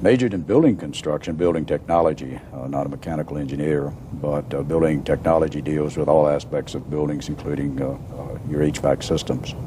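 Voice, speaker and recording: Against noticeable background noise, a man with an American accent and a very deep, low voice talks at a fairly quick pace with fairly even intonation. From Virginia, US (Newport News / Roanoke). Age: 60s. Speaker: retired engineering society president. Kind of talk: interview. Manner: halting, many fillers.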